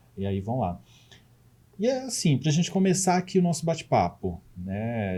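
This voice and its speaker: A dark, mellow, somewhat breathy voice with very wide pitch swings at a moderate pace. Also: man. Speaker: podcast co-host, educator. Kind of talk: podcast interview.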